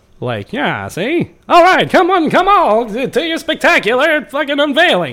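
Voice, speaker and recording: A man puts on a character voice, pitched extremely high, and talks at a moderate pace. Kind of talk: old-timey, period slang.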